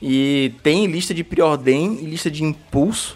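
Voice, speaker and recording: A man's voice with ordinary pitch variation. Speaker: podcast host. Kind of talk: casual chat. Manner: fast.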